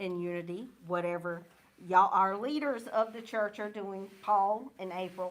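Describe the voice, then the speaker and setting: A woman talks with a Southern US accent. Her pitch shifts in an ordinary way. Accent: US South. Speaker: church youth leader. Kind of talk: church vision presentation. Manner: loud.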